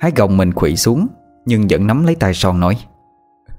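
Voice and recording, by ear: The voice is reading aloud in a natural voice.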